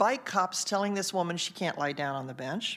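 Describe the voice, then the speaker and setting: A woman speaks in a very clean recording with a silent background. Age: 70s. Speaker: public commenter at city meeting. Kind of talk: public comment.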